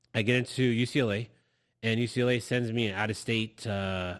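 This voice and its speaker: A man with an American accent and medium pitch on a very clean recording with a silent background. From Los Angeles, California. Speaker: guest sharing immigrant story. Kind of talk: personal testimony in interview. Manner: halting, many repetitions.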